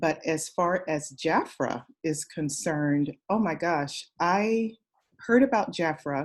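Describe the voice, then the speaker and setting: A woman with an American accent speaks at a very slow pace and a fairly low pitch on a very clean recording with a silent background. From Southern California. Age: 60s. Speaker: direct sales consultant. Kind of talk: interview.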